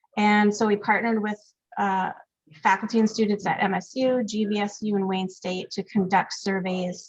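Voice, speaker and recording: The voice is somewhat breathy, with monotone, flat intonation. It keeps a moderate pace. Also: woman, medium pitch for a woman. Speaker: public health committee presenter. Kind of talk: meeting presentation. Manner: hesitant, many fillers.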